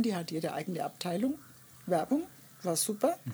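This woman's voice has a dark, mellow tone and is somewhat breathy. Her pitch swings very widely as she talks at a moderate pace. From Germany, Nuremberg area. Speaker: artist. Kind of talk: interview. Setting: outdoors in a garden.

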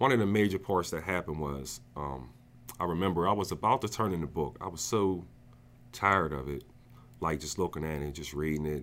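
This man has a very deep, low pitch with vocal fry and an American accent, talking at a fairly quick pace with ordinary pitch variation. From New Jersey. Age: 40s. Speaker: author. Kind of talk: casual interview.

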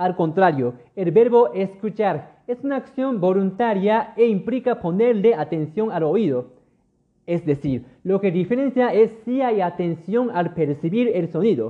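Speaking at a fairly slow pace, a man uses a high pitch. His intonation is lively. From Japan. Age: 20s. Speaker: language teacher podcaster and translator. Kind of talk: bilingual language-learning podcast monologue. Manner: many filler hesitations in Japanese.

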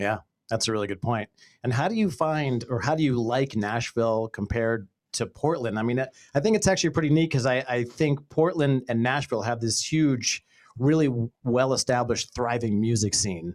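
In an ordinary speaking voice with an American accent, a man talks at a fairly quick pace, his medium pitch showing ordinary variation. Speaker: podcast host and former radio brand manager. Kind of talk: casual interview chat. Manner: upbeat, friendly.

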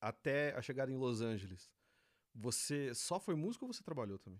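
With a plain, everyday voice, a man talks at a moderate pace, his medium pitch carrying lively intonation. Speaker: podcast host. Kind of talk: casual interview chat.

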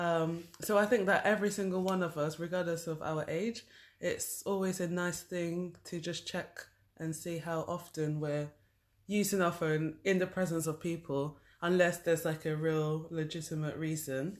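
A woman talks with a British accent in a fairly low pitch. The background is quiet. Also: fairly even intonation, moderate pace. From UK. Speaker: podcast co-host. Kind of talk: casual chat.

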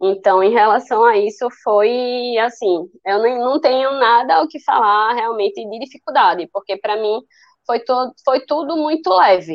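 At a fairly slow pace, a woman talks with a fairly high pitch and lively intonation. Hers is an unremarkable speaking voice. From Brazil, Recife, Pernambuco. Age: 20s. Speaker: physiotherapist with cystic fibrosis. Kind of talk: personal testimony in interview.

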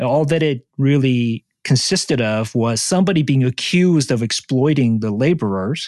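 Recorded with a dry, close sound, no echo and a quiet background, a man speaks at medium pitch with a Korean accent. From South Korea, moved to Vancouver area at fourteen. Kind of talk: interview conversation.

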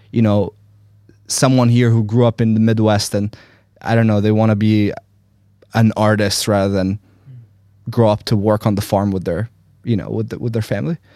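Speaking in an Arabic accent, a man with a fairly low pitch and a dark, mellow tone keeps a moderate pace and fairly even intonation, with long, frequent pauses in a dry, close sound with no echo. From Egypt. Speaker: podcast co-host. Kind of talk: casual chat.

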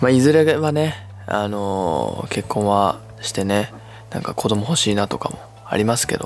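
Over noticeable background noise, a man with a fairly low pitch speaks at a moderate pace with lively intonation. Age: 20s. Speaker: solo podcaster and amateur guitar singer. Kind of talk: casual monologue. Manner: halting, many fillers.

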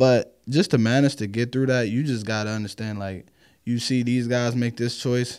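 Here is a man with an unremarkable speaking voice at a medium pitch and moderate pace. His intonation is fairly even, in a very clean recording with a silent background. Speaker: indoor football player. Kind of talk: casual chat.

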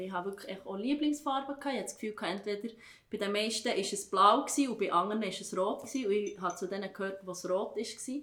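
A woman speaks in a Swiss accent with ordinary pitch variation. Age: 30s. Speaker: teacher. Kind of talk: casual chat.

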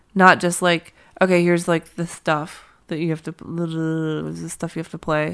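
A woman with an American accent speaks at a moderate pace in a fairly low voice, with monotone, flat intonation. Her loudness swings widely, and the recording is very clean with a silent background. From US, Pittsburgh. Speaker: touring violinist and singer-songwriter. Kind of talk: casual interview chat.

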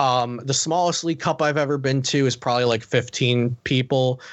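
Using an American accent, a man talks at a moderate pace and medium pitch with fairly even intonation. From southern New Jersey, US. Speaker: card game streamer and coach. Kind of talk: casual interview chat.

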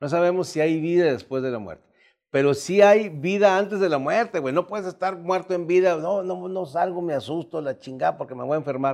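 Quite a quick delivery from a man with a high voice and normal pitch movement. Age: 60s. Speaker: comedian and podcast host. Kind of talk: casual chat.

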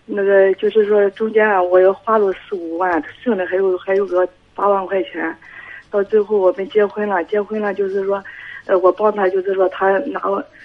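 Noticeable background noise sits under speech at a moderate pace with monotone, flat intonation. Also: woman, medium pitch for a woman. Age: 40s. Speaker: caller with marital problems. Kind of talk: phone-in advice call. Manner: halting.

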